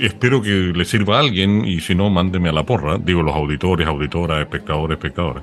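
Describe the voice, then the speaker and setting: With a very deep, low pitch, a man talks at a very fast pace with hardly any pauses, lively intonation and very even loudness, over noticeable background noise. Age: 60s. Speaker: podcast host. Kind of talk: casual chat.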